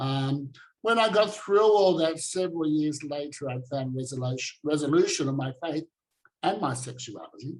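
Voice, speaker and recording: With an Australian accent, a man talks at a fairly high pitch and a moderate pace, his intonation lively. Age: 60s. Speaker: activist and former preacher. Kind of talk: online talk presentation.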